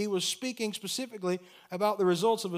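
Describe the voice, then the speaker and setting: Here a man with an American accent speaks at a high pitch. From United States. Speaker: pastor. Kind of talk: sermon. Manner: animated.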